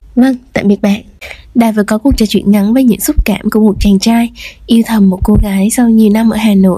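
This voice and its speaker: A woman talks at a fairly quick pace in a fairly high pitch, with a dark, mellow tone and a somewhat breathy quality. Her intonation is fairly even and her loudness very even. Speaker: radio show host. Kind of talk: podcast radio hosting and interview.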